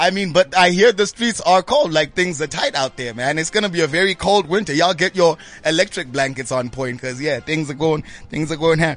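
Fairly high in pitch, a man speaks quickly with an animated tone. His pitch varies in an ordinary way. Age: 30s. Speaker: radio host. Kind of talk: casual chat.

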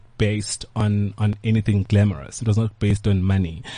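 Words come fairly slowly in a dark, mellow tone. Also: man. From South Africa, KwaZulu-Natal (Pietermaritzburg). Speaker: hotel group co-owner. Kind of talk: interview. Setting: studio.

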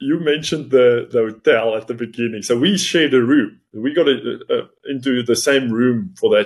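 Someone with an Afrikaans South African accent talks at a moderate pace with hardly any pauses. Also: man, medium pitch for a man, ordinary pitch variation. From South Africa, Northern Cape. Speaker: chartered accountant and business owner. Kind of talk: interview, personal story.

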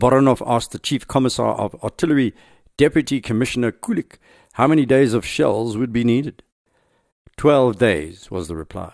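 With an ordinary speaking voice, a man of medium pitch talks at a moderate pace with lively intonation, in a dry, close sound with no echo and a quiet background. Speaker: podcast host. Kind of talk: history documentary narration. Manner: measured, authoritative storytelling; formal, steady delivery.

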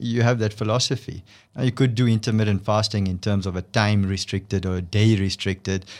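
A man uses a normal speaking voice, fairly low in pitch, with fairly even intonation. He talks at a fairly quick pace on a very clean recording with a silent background. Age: 40s. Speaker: doctor, obesity expert. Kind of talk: expert interview.

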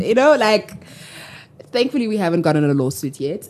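With noticeable background noise behind her, a woman speaks in an animated tone with lively intonation. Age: 20s. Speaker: social entrepreneur. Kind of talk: casual interview.

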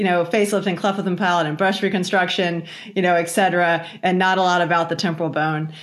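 Speaking very fast with an American accent, a woman uses a fairly low pitch and monotone, flat intonation amid audible room echo. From Virginia, US. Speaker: facial plastic surgeon and professor. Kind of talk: interview conversation.

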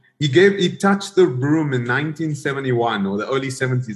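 With lively intonation, a man speaks at medium pitch in a somewhat breathy voice. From South Africa. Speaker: tech investor and former executive. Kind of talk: interview. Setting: video call from home gym. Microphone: wired connection.

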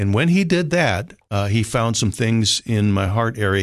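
With a slight northern US accent, a man talks at a fairly low pitch against a quiet background. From Minnesota, US. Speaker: rescue mission director. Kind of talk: casual interview chat. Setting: radio studio.

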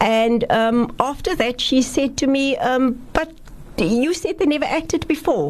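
A woman's high-pitched voice at a fairly slow pace, with lively intonation and very even loudness, over noticeable background noise. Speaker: researcher and playwright. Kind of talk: radio interview.

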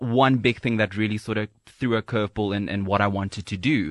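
With a dry, close sound with no echo and a quiet background, a man with an ordinary speaking voice talks at a moderate pace, fairly low in pitch and with fairly even intonation. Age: 20s. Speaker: radio presenter. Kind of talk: casual chat. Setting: studio.

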